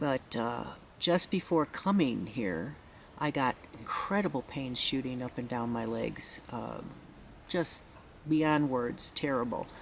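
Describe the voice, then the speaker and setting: A woman with an American accent speaks very slowly in a very deep, low voice with lively intonation. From US Midwest, Chicago. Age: 60s. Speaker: retreat participant. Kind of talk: testimony. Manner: halting, many fillers.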